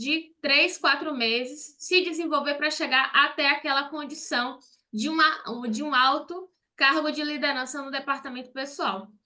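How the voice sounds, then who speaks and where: A woman speaks in a raised, projected voice, high in pitch with a bright, sharp tone. Her pace is fairly slow, her pitch variation ordinary, and the background quiet. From Brazil, Salvador, Bahia. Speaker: accountant and online course teacher. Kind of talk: online live class. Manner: direct, conversational.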